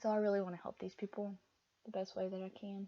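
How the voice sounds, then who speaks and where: A woman with a slight Southern US accent speaks in a dark, mellow tone with fairly even intonation. The sound is dry and close, with no echo. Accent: southern, mild. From US South. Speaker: crochet and knitting podcaster. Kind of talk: casual chat. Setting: home, seated at desk. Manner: halting, many fillers.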